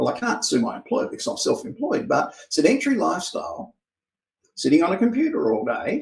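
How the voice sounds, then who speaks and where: A man with an Australian accent, at a fairly quick pace. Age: 60s. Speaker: private investigator and trainer. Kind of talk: interview answers, explanatory monologue.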